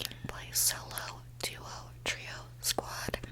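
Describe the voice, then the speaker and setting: A woman whispers over noticeable background noise. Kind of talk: ASMR whisper ramble to camera. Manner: whispered, soft-spoken.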